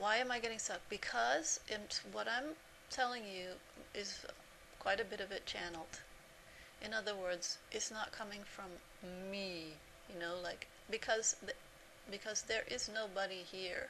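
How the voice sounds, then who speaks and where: Speaking fairly slowly with long, frequent pauses, a woman uses a medium pitch and ordinary pitch variation. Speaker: spiritual teacher. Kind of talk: spiritual talk to camera. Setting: self-recorded video. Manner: halting, sometimes stuck on words.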